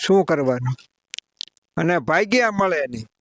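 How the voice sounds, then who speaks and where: A man's voice is heard in a dry, close sound with no echo. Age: old. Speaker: farmer. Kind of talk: interview answer.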